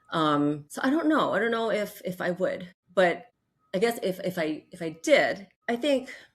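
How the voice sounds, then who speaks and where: With very wide pitch swings, a woman speaks at a moderate pace in a somewhat breathy voice of medium pitch. The recording is very clean, with a silent background. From Hawaii, then California. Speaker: mental health counselor, group practice founder. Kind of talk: interview.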